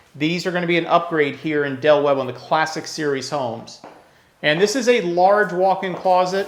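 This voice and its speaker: Mumbling at a high pitch, a man speaks at a moderate pace with ordinary pitch variation amid audible room echo. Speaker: real estate broker. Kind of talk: home tour walkthrough. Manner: mumbles; casual.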